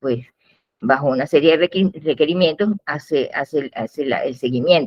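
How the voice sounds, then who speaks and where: A woman's very deep, low pitch with ordinary pitch variation, at a moderate pace. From Venezuela, Maracay. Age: 70s. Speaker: genealogist. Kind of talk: interview. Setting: video call. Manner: halting, many fillers.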